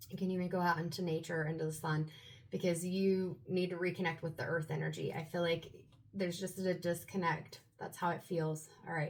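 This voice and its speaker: A woman with a fairly low, somewhat breathy voice talks at a fairly quick pace. Her intonation stays monotone and flat. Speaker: tarot reader. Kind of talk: tarot reading to camera. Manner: casual, meandering.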